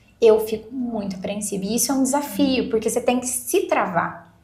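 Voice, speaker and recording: A woman's fairly high, fairly slow speech with lively intonation and audible room echo. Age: 30s. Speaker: lawyer. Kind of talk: podcast interview.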